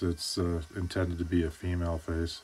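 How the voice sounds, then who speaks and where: Bored and relaxed in tone, a man speaks at a moderate pace with a very deep, low pitch. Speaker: woodcarver. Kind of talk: voiceover tutorial. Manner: flat, bored-sounding; relaxed, hesitant with fillers.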